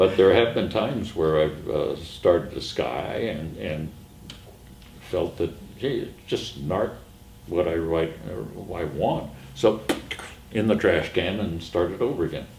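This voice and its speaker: Noticeable background noise and audible room echo surround a man with a very deep, low pitch. He speaks at a fairly slow pace with lively intonation and long, frequent pauses. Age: 80s+. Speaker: artist. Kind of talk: interview. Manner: halting, many fillers.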